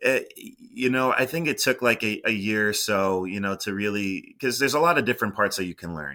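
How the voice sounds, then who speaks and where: Moderate pacing with a bright, sharp tone. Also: man, very clean recording, silent background. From Boston area, Massachusetts. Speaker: former college radio sports broadcaster. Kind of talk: interview. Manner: halting.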